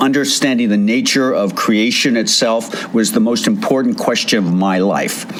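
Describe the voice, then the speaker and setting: Music plays in the background as a man speaks at a moderate pace with lively intonation and audible room echo. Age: 70s. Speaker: radio host. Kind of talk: casual chat.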